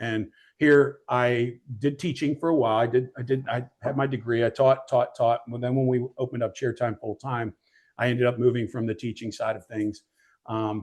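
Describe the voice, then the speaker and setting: In a normal speaking voice with an American accent, a man talks at a moderate pace and medium pitch, his intonation fairly even. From Middletown, Pennsylvania, US. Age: 50s. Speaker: gym owner and cheer coach. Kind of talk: interview. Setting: live studio audience.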